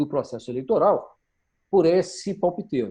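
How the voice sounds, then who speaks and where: This man's voice sits high in pitch, with a dark, mellow tone and very wide pitch swings, over a quiet background. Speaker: campaign strategy instructor. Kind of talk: online workshop lecture.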